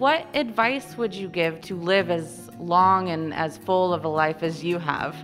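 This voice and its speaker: With music in the background, a woman with a fairly low voice speaks fairly slowly, her intonation lively. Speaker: show host, interviewer. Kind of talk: interview questions and show narration.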